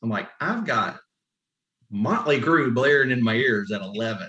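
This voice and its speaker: A man with a Southern US accent talks at a medium pitch. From South Carolina. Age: 50s. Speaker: competition barbecue pitmaster. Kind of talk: casual interview.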